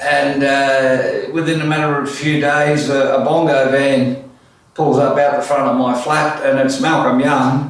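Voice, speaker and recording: With an Australian accent, a man of fairly high pitch speaks at a fairly slow pace in a monotone, flat intonation, with audible room echo. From Australia (Orange, NSW), born in Netherlands. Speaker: musician and piano tuner. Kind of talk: autobiographical storytelling. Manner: casual, hesitant with many fillers.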